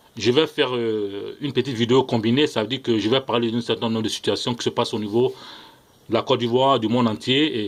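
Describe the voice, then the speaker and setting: His words pour out very fast. The man's medium pitch keeps a fairly even intonation. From Ivory Coast. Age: young. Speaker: political commentator vlogger. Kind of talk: video monologue. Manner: hesitant, frequent fillers; impassioned.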